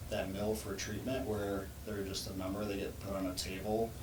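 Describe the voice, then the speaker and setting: A man speaks with an American accent at a fairly low pitch. His pace is moderate, with noticeable background noise. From Louisiana, USA. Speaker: physical therapist. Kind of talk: podcast interview answer.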